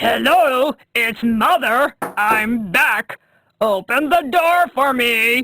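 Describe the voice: A female-sounding voice puts on a high-pitched character voice and speaks at a very slow pace.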